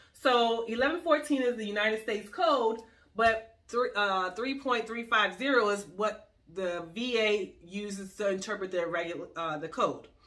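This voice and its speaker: With an American accent, a woman speaks in a bright, sharp tone. Her intonation is lively. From US Northeast. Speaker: lawyer. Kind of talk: tutorial. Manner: fast.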